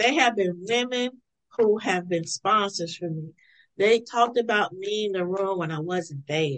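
A woman speaks with lively intonation. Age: 50s. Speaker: leadership strategist and former athletic administrator. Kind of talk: interview. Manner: energetic.

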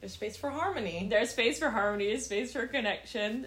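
A woman with a fairly high pitch and ordinary pitch variation speaks at a moderate pace amid audible room echo. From Netherlands. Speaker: podcast host. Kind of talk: casual chat.

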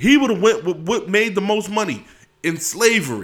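A man talks at a fairly quick pace in a bright, sharp tone. His delivery is animated. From Philadelphia, US. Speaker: podcast host. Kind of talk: casual monologue.

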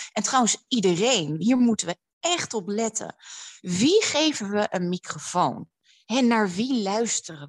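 Against a quiet background, a woman's voice makes very wide pitch swings, recorded with a dry, close sound and no echo. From Netherlands, Amsterdam. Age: 30s. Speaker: public speaker and writer. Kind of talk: interview. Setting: at home.

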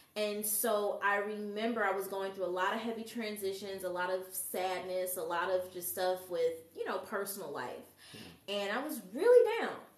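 Over noticeable background noise and audible room echo, a woman talks with fairly even intonation. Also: medium pitch for a woman, moderate pace. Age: 30s. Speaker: sound healer and massage therapist. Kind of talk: casual chat. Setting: live show with audience.

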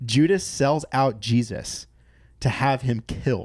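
At a fairly slow pace, a man speaks at medium pitch in a plain, everyday voice. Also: very clean recording, silent background. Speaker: podcast guest, former rock musician. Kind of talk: casual chat about faith.

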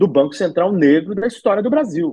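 A man's high-pitched voice with lively intonation. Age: 40s. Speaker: cultural events manager. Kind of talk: interview.

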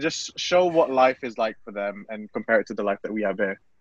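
Speaking at a fairly quick pace, a man with a British accent sounds dry and close, with no echo. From UK, Filipino diaspora. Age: 20s. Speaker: festival committee member. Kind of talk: casual chat.

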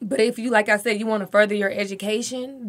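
A woman speaks with a Southern US accent and fairly even intonation. The recording is very clean, with a silent background. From Alabama. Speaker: marketing entrepreneur. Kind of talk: radio panel discussion. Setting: studio.

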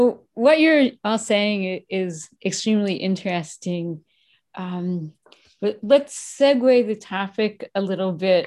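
A woman at medium pitch, with lively intonation and a very slow pace. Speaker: radio host. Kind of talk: radio interview. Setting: virtual studio.

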